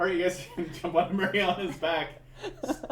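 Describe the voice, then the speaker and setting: Amid noticeable background noise, a man speaks loudly. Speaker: dungeon master. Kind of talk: tabletop game narration. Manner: animated.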